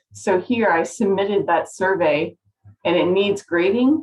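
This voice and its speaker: With lively intonation, a woman at medium pitch speaks in an unremarkable speaking voice. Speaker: college biology instructor. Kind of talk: tutorial. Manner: casual, upbeat.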